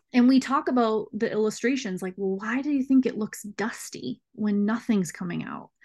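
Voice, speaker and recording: Against a quiet background, a woman with an American accent speaks at a moderate pace, her fairly high pitch somewhat breathy and varying in an ordinary way. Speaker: speech pathologist. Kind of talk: casual interview chat.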